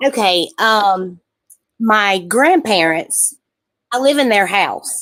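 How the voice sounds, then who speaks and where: In an Alabama accent, the speech comes at a very slow pace with long, frequent pauses. The intonation stays lively. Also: woman, fairly high pitch for a woman. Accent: Southern US (Alabama). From US South, southern Alabama. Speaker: caller. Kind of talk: live call-in reading.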